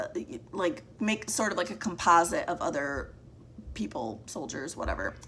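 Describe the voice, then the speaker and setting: A woman with a fairly low pitch speaks at a moderate pace, her voice swinging very widely in pitch. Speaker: book reviewer. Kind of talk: casual monthly book wrap-up. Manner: casual, with fillers and restarts.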